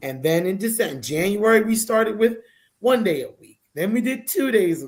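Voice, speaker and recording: A woman speaks at a moderate pace and fairly high pitch, with vocal fry. Her intonation is lively, with big swings in loudness. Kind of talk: interview conversation.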